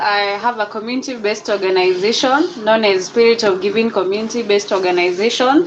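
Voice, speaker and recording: Talking at a fairly quick pace with hardly any pauses, a woman is heard against noticeable background noise. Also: very even loudness. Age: 20s. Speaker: community organization founder. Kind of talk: interview. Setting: studio.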